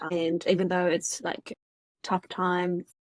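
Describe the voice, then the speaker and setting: With a German accent, a woman speaks fairly slowly at a medium pitch, the sound dry and close with no echo. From Germany. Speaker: mindset coach and author. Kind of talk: podcast interview.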